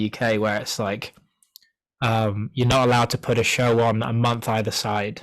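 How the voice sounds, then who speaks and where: A man talks with a British accent. His intonation is monotone and flat. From Wales. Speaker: singer-songwriter. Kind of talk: interview. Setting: video call. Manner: casual, many fillers and restarts.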